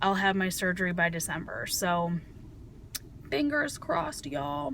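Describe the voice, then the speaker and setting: A woman with a fairly low pitch makes very wide pitch swings, and audible room echo surrounds her voice. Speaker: vlogger. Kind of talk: personal video diary. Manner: fast.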